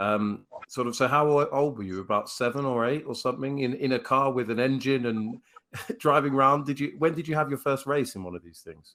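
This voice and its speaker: With a British accent, a man speaks at a fairly quick pace and a fairly high pitch. His tone is bright and sharp, with ordinary pitch variation and big swings in loudness. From United Kingdom. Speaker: podcast host. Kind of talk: interview.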